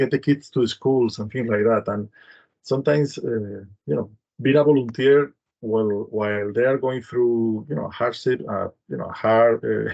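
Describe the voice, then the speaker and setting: A man talks with a Spanish accent at a medium pitch and a fairly slow pace. His tone is dark and mellow, with ordinary pitch variation. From Spain, Madrid. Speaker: humanitarian program director. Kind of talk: panel discussion. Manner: halting, many fillers.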